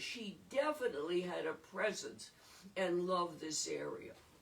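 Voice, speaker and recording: Noticeable background noise sits behind a woman speaking. Her intonation is lively and her pace fairly slow. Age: 80s+. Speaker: local historian leading a talk. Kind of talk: informal talk. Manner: off the cuff.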